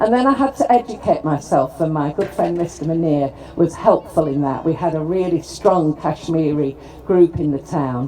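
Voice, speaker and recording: Over noticeable background noise, a woman with a Lancashire accent speaks at a moderate pace with a fairly low pitch and very wide pitch swings. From northern England, Preston, Lancashire. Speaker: politician, former mayor. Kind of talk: formal speech at ceremony.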